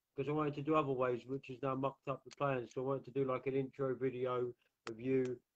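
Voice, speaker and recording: With an English accent, a man speaks very fast at a fairly high pitch. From England. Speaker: talk show host. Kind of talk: interview. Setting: live online video stream.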